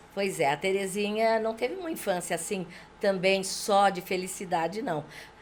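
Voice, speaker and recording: Here is a woman in a normal speaking voice at medium pitch. She moves at a moderate pace with ordinary pitch variation. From Brazil, interior of São Paulo state (Junqueirópolis). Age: 60s. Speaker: local politician. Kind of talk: podcast interview, life story.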